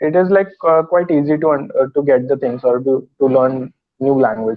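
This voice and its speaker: A man with a Marathi accent speaks in a fairly high pitch at a moderate pace. His loudness stays very even, and his pitch varies in an ordinary way. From India, Maharashtra. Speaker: English learner. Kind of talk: casual chat. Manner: halting.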